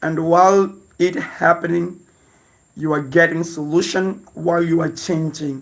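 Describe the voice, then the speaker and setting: Speaking at a fairly slow pace, a man with a non-native accent talks in a high pitch. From Mozambique. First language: Portuguese. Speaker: lifestyle vlogger. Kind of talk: livestream chat. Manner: halting.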